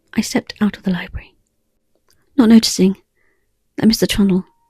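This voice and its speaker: A soft-spoken woman with an English accent, calm in tone, at medium pitch with ordinary pitch variation and a moderate pace, in a dry, close sound with no echo and music in the background. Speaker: ASMR storyteller. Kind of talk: improvised ASMR audio story. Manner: soft-spoken, calm.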